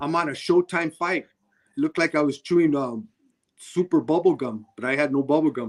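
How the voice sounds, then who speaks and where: The speaker has an American accent and a plain, everyday voice, with ordinary pitch variation at a moderate pace. The recording has a dry, close sound with no echo. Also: man, fairly high pitch for a man. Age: 60s. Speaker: boxing referee. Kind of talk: interview testimony.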